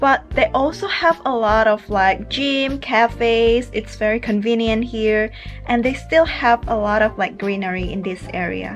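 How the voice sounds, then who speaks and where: Over faint background music, a woman talks at a fairly slow pace with ordinary pitch variation. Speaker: travel vlogger. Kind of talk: casual vlog chat. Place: home room. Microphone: phone near.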